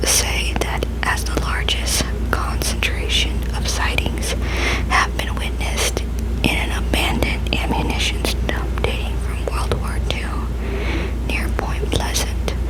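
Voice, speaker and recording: Against noticeable background noise, a woman whispers at a very slow pace. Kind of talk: ASMR reading of cryptozoology facts. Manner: whispered.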